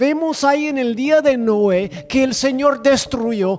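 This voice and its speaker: Someone speaks with a non-native accent at a very slow pace. Music plays in the background. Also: man. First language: not Spanish (speaking Spanish). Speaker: preacher. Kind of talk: sermon. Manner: halting.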